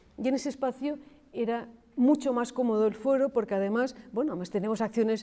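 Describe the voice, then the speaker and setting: At a fairly quick pace, a woman speaks in a dark, mellow tone with fairly even intonation. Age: 60s. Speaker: archaeologist. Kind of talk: panel discussion.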